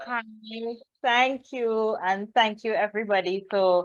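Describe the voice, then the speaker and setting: A woman with a Trinidadian accent speaks at a very slow pace with ordinary pitch variation. Her voice is fairly high and her tone bright and sharp. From Trinidad and Tobago. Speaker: children's book author. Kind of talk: guest talk at a reading event.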